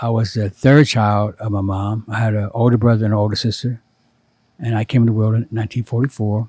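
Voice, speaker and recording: Speaking at a very fast pace, a man with a medium-pitched, dark and mellow voice stays monotone and flat, sounding somewhat breathy in a dry, close recording with no echo. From US Midwest, Cincinnati, Ohio. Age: 70s. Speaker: former doctor, spiritual guide to artists. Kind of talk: interview, personal life story.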